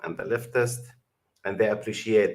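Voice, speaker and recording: This is a man with an Arabic accent. His voice sits at a medium pitch. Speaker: YouTube commentator. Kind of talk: video reaction commentary. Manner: halting.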